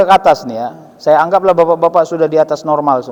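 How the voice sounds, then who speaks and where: A man is speaking. His pace is very fast. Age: 40s. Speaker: Islamic preacher and professor. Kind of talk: sermon. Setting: mosque with audience. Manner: conversational, addresses audience directly.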